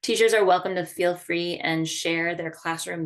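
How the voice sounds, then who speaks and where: A woman with an ordinary speaking voice, fairly low in pitch, with ordinary pitch variation. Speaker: arts education program coordinator. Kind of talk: online staff training meeting.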